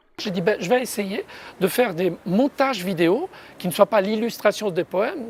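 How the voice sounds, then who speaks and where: The speaker has an Italian accent. The pace is fairly slow. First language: Italian (speaking French). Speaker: poet. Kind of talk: interview. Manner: hesitant, many fillers.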